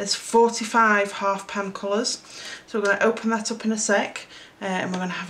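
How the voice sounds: A woman with a South Yorkshire accent talks at a moderate pace and medium pitch, her tone fairly bright, with audible room echo.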